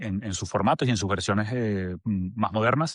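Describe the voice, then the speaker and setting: A man talks at a fairly quick pace in a Venezuelan accent. The sound is dry and close with no echo, over a quiet background. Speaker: agency director. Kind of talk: podcast interview.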